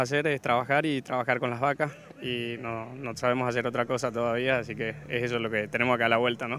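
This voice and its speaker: In an ordinary speaking voice, a man with a medium pitch and fairly even intonation talks over light background noise, the sound dry with no echo. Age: 30s. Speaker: cattle breeder and buyer. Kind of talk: interview. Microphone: handheld.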